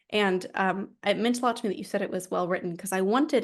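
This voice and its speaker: A woman with an American accent, medium pitch and ordinary pitch variation at a very fast pace, against a quiet background. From United States. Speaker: author. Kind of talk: interview.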